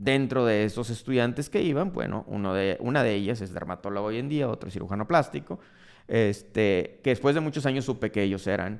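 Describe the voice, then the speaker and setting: A man speaks in a northern Mexican accent with lively intonation. His pace is fairly quick. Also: medium pitch for a man. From Mexico, Monterrey, Nuevo León. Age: 40s. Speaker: dermatologist and entrepreneur, podcast host. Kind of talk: personal storytelling monologue.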